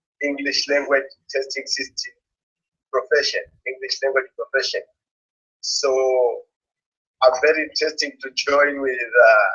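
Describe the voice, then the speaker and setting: Long pauses come often in this man's speech. His pace is fairly slow. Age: 30s. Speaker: English language student. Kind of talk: interview. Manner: halting.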